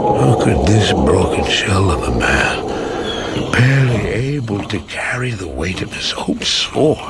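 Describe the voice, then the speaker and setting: A man does a cartoonish character voice, fairly low in pitch, at a fairly slow pace. Loud background noise runs underneath. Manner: nervous, halting.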